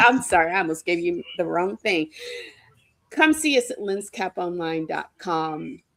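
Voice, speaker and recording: This woman has a normal speaking voice, fairly low in pitch, with lively intonation and a fairly slow pace. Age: 60s. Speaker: comic creator and vendor. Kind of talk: casual chat.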